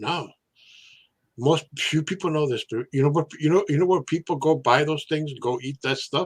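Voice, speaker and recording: In a very clean recording with a silent background and a dry, close sound with no echo, a man with a somewhat breathy, fairly high voice speaks at a moderate pace with ordinary pitch variation. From Mexican-American family from Sinaloa, Mexico. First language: Spanish. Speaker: live stream host. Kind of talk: casual chat. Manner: halting, many fillers and repetitions.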